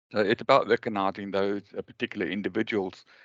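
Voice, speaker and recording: Against a quiet background, a man with a fairly low pitch talks at a moderate pace in a dry, close sound with no echo. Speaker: webinar host, cost engineering association member. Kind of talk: webinar presentation. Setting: video call webinar. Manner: halting, many fillers.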